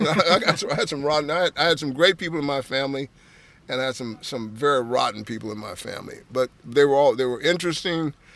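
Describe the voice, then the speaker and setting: Talking at a very fast pace with an American accent, a man uses a fairly high pitch, ordinary pitch variation and big swings in loudness. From San Francisco Bay Area, US West Coast. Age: 70s. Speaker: art collector. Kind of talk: casual interview chat. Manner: halting, many repetitions.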